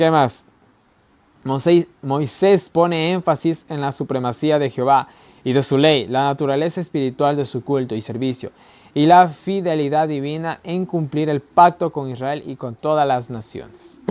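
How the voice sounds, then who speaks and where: Speaking at a fairly slow pace, this man has a fairly high voice. His pitch varies in an ordinary way. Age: young. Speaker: Bible teacher. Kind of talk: Bible study lesson. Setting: recording alone to camera. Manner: conversational, repeats ¿ya?.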